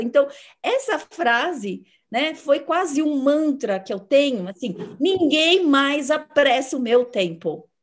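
Against a quiet background, a woman speaks at a fairly slow pace in a high pitch with lively intonation. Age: 50s. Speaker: psychologist; host or guest in an online conversation. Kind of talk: interview. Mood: warm, animated. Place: home room. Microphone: video call.

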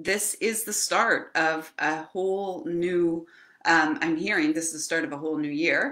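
A woman speaks in a fairly low voice with a bright, sharp tone. Her pace is fairly slow, and her pitch varies in an ordinary way. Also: quiet background. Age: 50s. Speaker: spiritual channel host, card reader. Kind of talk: live stream oracle card reading. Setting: live video stream. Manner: casual, rambling with fillers. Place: home room. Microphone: webcam.

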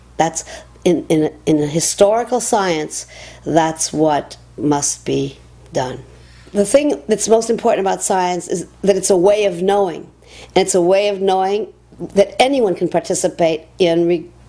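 The woman's tone is dark and mellow. She speaks at a fairly slow pace with ordinary pitch variation. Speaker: interviewee. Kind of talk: interview answer. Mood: earnest, explanatory. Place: home room.

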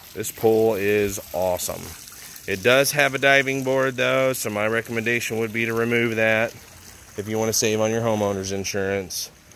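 Against light background noise, the speech comes at a moderate pace with fairly even intonation and a dry sound with no echo. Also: man. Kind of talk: property walkthrough commentary. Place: garden. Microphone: phone near.

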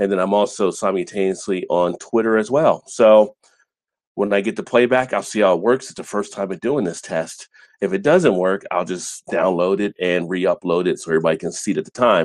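A man's fairly low voice with ordinary pitch variation and a quiet background. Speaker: beer channel host. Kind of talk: casual live stream chat. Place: home room.

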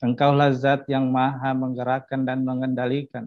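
The background has no noise to speak of. No echo colors the dry sound. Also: man. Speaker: prayer leader. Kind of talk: prayer. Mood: solemn, reverent. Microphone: video call.

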